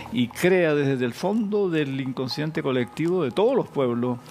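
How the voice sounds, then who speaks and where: With music in the background, a man speaks at a fairly slow pace using lively intonation. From Chile. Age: 80s+. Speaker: philosopher and professor. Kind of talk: TV interview answer.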